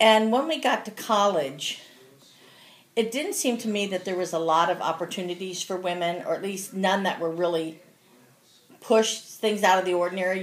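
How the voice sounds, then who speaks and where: Speaking at a moderate pace with a US Midwestern accent, a woman uses a medium pitch and ordinary pitch variation. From Cincinnati, Ohio (US Midwest). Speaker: grandmother interviewed for school project. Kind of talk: casual interview.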